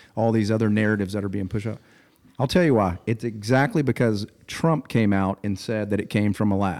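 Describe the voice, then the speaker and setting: Fairly quick and unremarkable, a man's speaking voice sits fairly low in pitch with ordinary pitch variation. The recording is very clean, with a silent background. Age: 30s. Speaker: business executive and CrossFit athlete. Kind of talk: casual chat.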